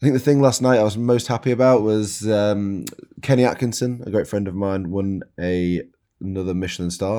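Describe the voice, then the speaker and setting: Delivered at a fairly quick pace in a Yorkshire accent, the dark, mellow tone carries ordinary pitch variation on a very clean recording with a silent background. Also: man. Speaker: podcast host and chef. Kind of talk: scripted narration.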